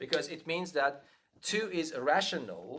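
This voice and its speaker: A man with a non-native accent speaks at a moderate pace, his fairly high voice carrying lively intonation. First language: not English. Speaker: math lecturer. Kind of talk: interactive lecture. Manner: halting.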